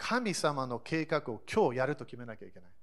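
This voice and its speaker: On a very clean recording with a silent background, a man with a plain, everyday voice talks at a fairly quick pace with lively intonation. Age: 40s. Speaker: pastor. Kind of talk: sermon. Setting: church service.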